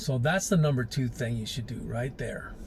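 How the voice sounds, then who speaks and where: At a moderate pace, a man speaks in a medium pitch with audible room echo. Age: 60s. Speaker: life advice vlogger. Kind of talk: casual monologue. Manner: casual, conversational.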